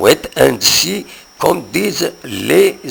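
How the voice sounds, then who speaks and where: A man speaks with a Kabyle Algerian accent over noticeable background noise. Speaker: news presenter. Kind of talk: local news bulletin. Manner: rolled r.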